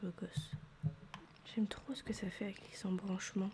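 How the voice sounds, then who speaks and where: A soft-spoken woman, relaxed in tone, at a fairly slow pace. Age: 20s. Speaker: ASMR creator. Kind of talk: ASMR gaming commentary. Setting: home microphone setup. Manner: soft-spoken, relaxed.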